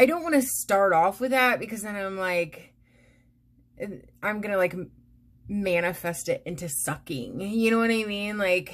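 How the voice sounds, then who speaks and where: The intonation of this woman is lively. Her pace is fairly slow. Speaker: beauty vlogger. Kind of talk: casual vlog chat. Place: home room. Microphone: phone near.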